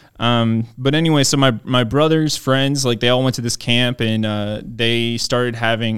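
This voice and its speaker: A plain, everyday voice, this man speaks at a moderate pace in an American accent, with medium pitch, fairly even intonation and hardly any pauses. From Maryland, US. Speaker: pastor. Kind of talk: testimony.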